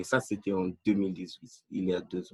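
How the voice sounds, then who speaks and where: A man is speaking. His pace is fairly slow. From Nigeria. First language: not French (English-speaking country) (speaking French). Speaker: language learner. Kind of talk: interview. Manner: halting, many fillers.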